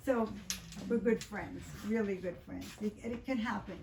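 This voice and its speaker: Speaking in an American accent at a moderate pace, a woman uses a medium pitch with ordinary pitch variation. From US South, Miami Beach, Florida. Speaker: psychotherapist and author. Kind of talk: book talk to audience. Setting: bookstore event with audience. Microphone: speaking without a microphone.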